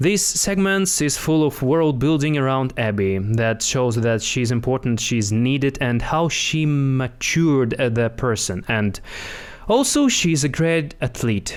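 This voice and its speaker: Speaking fairly slowly with a non-native accent, a man keeps a very even loudness at a medium pitch, his intonation lively. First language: not English. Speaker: actor, writer. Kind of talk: plot narration.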